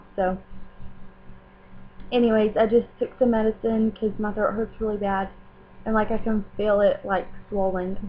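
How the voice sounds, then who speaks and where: A woman in a Southern US accent, fairly high pitch, monotone and flat intonation, moderate pace, with long, frequent pauses. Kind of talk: casual talk to camera.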